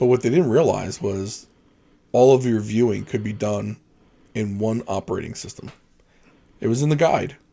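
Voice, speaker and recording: A man's dark, mellow voice at medium pitch, with ordinary pitch variation, a moderate pace, and long, frequent pauses. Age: 40s. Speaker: podcast host. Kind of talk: casual chat.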